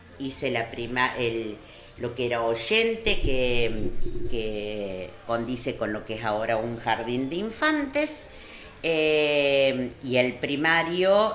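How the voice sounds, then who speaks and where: Amid noticeable background noise and audible room echo, a woman speaks very slowly at a very deep, low pitch with ordinary pitch variation. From Argentina, Córdoba province (Marull). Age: 60s. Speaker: local community figure interviewed on radio. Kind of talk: radio interview.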